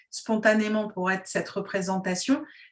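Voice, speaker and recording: Her voice is medium in pitch and somewhat breathy as this woman talks at a moderate speed. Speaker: interviewer. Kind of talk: interview questions.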